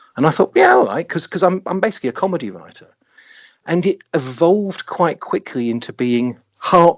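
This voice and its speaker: In a dry, close sound with no echo, a man with an English accent speaks in a fairly high pitch with lively intonation. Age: 50s. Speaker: writer. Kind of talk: interview. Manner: halting, self-interrupting.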